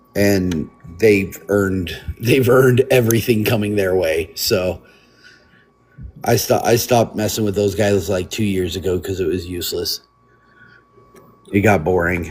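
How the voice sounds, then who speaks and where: A fairly low-pitched man at a fairly slow pace, with ordinary pitch variation and long, frequent pauses. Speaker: biker club member. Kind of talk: casual chat. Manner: careful, measured wording.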